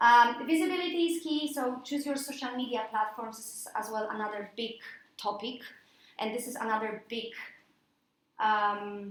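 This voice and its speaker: A woman with a Polish accent talks at a moderate pace and a fairly high pitch with ordinary pitch variation, big swings in loudness, long and frequent pauses, and audible room echo. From Poland. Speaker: freelance mentor and coach. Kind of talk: presentation to a workshop audience.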